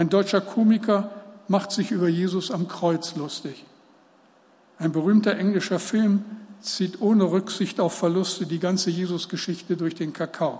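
At a moderate pace, a high-pitched man speaks with fairly even intonation. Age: 70s. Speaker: preacher. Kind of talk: sermon.

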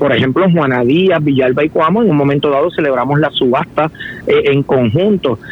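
Noticeable background noise behind a man talking at a moderate pace with lively intonation. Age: 50s. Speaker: political candidate. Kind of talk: interview.

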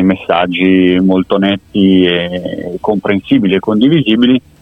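A man's speech shows ordinary pitch variation, with music in the background. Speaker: polling expert. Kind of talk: interview.

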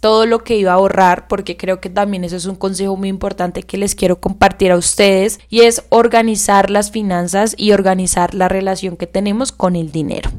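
Her medium-pitched voice keeps fairly even intonation as the woman speaks over a very clean recording with a silent background. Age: 20s. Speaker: podcast host and young entrepreneur. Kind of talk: solo podcast monologue.

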